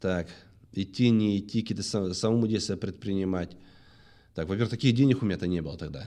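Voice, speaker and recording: In a quiet background, a man speaks at a fairly quick pace with lively intonation. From Anapa, southern Russia; Russia. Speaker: former police detective turned businessman, book author; talk show guest. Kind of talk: testimony. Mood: serious, reflective storytelling. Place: studio. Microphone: studio mic.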